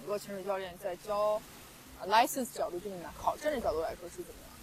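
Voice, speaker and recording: A woman with a fairly high voice talks very fast over noticeable background noise. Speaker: podcast host. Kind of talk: casual interview chat. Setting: outdoors on a beach.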